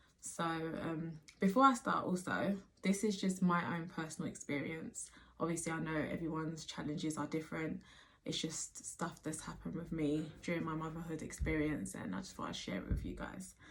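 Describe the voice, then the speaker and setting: With a British accent, a woman speaks at a moderate pace in a very deep, low pitch with vocal fry and ordinary pitch variation. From Nigerian background. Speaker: mother. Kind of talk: casual talk to camera.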